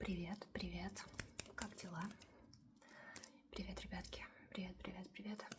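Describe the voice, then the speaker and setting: A woman at a fairly slow pace, with long, frequent pauses over noticeable background noise. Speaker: ASMR creator. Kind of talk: ASMR storytime and rambling to camera. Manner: soft, repetitive, cooing.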